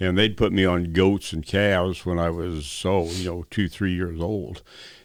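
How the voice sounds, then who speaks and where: With an American accent, a man speaks at a moderate pace in a very deep, low voice on a very clean recording with a silent background. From Montana. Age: 80s+. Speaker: retired rodeo champion. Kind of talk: interview. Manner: halting.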